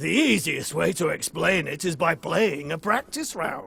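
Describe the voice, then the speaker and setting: This man is doing a put-on character voice. His pitch is fairly high and his pace is moderate. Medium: video game. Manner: smug, evasive.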